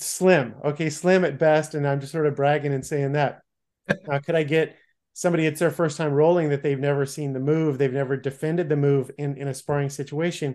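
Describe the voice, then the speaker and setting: Against a quiet background, a man talks at a fairly quick pace with flat, monotone intonation. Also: fairly high pitch for a man. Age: 50s. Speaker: martial arts podcast host. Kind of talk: casual interview chat.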